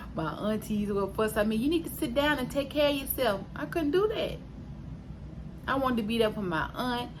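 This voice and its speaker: Amid audible room echo, a woman speaks in a high voice with lively intonation at a moderate pace. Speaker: vlogger sharing weight loss surgery journey. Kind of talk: casual vlog update. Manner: hesitant with fillers.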